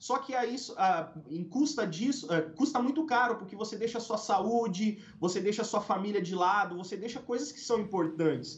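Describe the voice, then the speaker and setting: A man speaks with hardly any pauses in a high voice. His intonation is lively. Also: moderate pace. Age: 30s. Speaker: pastor. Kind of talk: testimony.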